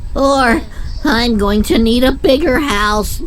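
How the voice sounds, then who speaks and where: A female-sounding put-on character voice, pitched high for a woman and delivered at a fairly slow pace. Background noise is clearly audible. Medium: video game. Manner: hesitant, nerdy.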